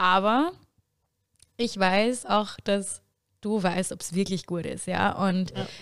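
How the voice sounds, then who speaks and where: A woman talks at a very slow pace with long, frequent pauses, her medium-pitched voice keeping a fairly even intonation. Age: 20s. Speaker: student teacher. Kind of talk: casual chat.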